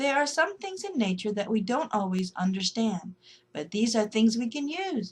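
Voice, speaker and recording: A soft-spoken woman in a put-on character voice, fairly high in pitch, gentle in tone, at a moderate pace. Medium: read story. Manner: gentle, chuckling.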